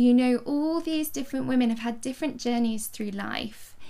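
A woman speaks at a moderate pace in a fairly high pitch with ordinary pitch variation. Her tone is dark and mellow, with vocal fry.

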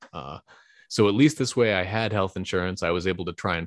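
A man with a Californian accent talks at a fairly quick pace in a very deep, low voice, recorded very cleanly against a silent background with a dry, close sound and no echo. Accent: Californian American. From San Francisco Bay Area, California. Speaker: congressional candidate. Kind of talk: interview. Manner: hesitant, many fillers.

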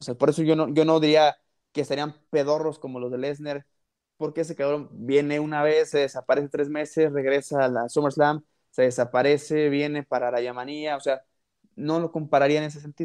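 Dry, close sound with no echo carries a man's fairly high voice in a Mexican accent. He talks at a fairly quick pace with monotone, flat intonation. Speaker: wrestling podcast host. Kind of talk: casual chat.

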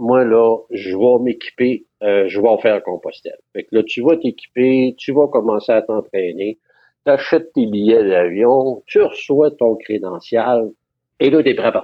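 With a Quebec accent, a man speaks at a fairly slow pace, using a medium pitch and ordinary pitch variation. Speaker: retired pilgrim, former photographer. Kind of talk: casual interview.

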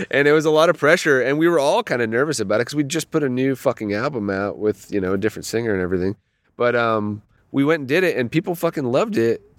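A man at medium pitch speaks at a very fast pace with lively intonation. The recording is very clean with a silent background, and the sound is dry and close with no echo. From Canada, Toronto. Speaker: rock guitarist. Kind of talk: casual interview. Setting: outdoors at night in a quiet park.

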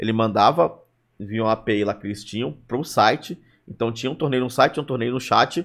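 This man has a normal speaking voice, a medium pitch and ordinary pitch variation, talking at a fairly quick pace on a very clean recording with a silent background. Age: 30s. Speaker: streamer and stand-up comedian. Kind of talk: casual chat.

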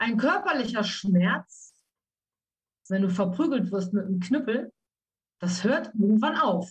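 A woman with a fairly high pitch sounds somewhat breathy and uses lively intonation. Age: 50s. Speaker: trauma coach. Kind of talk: interview about her life.

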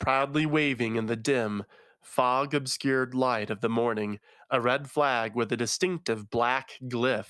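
The speaker is plainly reading aloud, with ordinary pitch variation.

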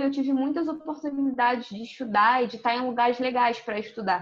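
A woman speaks with a high pitch. Her pace is moderate. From Rio de Janeiro, Brazil. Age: 20s. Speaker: social media content creator. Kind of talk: casual interview chat.

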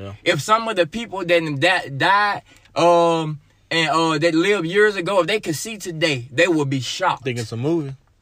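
With an Arkansas accent, a man speaks at a moderate pace in a high pitch with a bright, sharp tone. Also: lively intonation, big swings in loudness. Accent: Southern US (Arkansas). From Arkansas, US South. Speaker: church member giving testimony, pastor's kid. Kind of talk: testimony.

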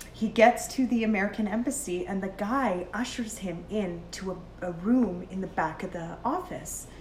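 A woman at a medium pitch and moderate pace, with ordinary pitch variation, hardly any pauses and noticeable background noise. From Canada, Edmonton area. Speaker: podcast co-host. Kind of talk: casual chat. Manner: animated.

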